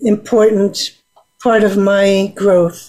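Her voice is fairly high in pitch with a dark, mellow tone, as this woman speaks very slowly in a monotone, flat intonation. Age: 70s. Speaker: expressive arts therapist and nonprofit founder. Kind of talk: interview. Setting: radio studio, live-streamed on Facebook.

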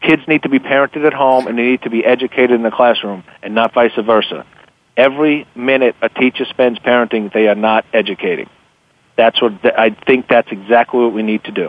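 An unremarkable speaking voice comes from a man at medium pitch. He talks at a fairly quick pace with fairly even intonation. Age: 50s. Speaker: author and investment newsletter publisher. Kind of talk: radio interview.

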